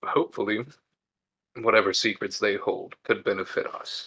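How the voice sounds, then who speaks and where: Putting on a raspy character voice, a man speaks at an extremely high pitch and a moderate pace. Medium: actual play. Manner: formal, measured.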